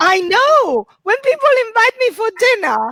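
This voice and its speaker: A woman's extremely high voice with an Italian accent. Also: dry, close sound with no echo. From Italy. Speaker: comedian. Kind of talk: stand-up. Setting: video call.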